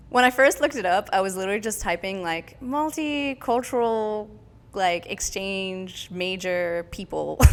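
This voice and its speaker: With a West Coast US accent, a woman speaks at a moderate pace and medium pitch, her intonation lively, while music plays in the background. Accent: General American, West Coast. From San Francisco Bay Area, California. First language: French. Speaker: dancer. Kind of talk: casual interview chat.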